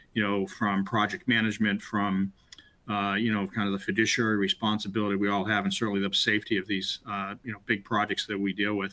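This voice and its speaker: Talking at a fairly quick pace in a Boston accent, a man keeps a monotone, flat intonation. His fairly low voice has a bright, sharp tone. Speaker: webinar host, former state CIO. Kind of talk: webinar conversation. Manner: halting, many fillers.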